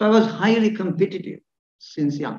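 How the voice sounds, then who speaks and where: At a moderate pace, the speaker has a lively intonation, with audible room echo over a quiet background. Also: man. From Sri Lanka. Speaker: professor of surgery. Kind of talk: lecture. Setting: stage with audience. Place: hall. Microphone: podium.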